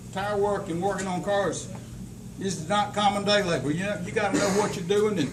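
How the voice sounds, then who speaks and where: High-pitched male voice at a moderate pace, with audible room echo and noticeable background noise. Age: 70s. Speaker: company owner presenting awards. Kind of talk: award ceremony speech.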